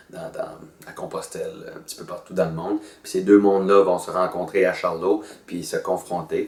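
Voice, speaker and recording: A man at a moderate pace, with noticeable background noise. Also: big swings in loudness. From northern New Brunswick, Acadia. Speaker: actor and storyteller. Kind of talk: promotional interview. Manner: hesitant, many fillers; casual, colloquial.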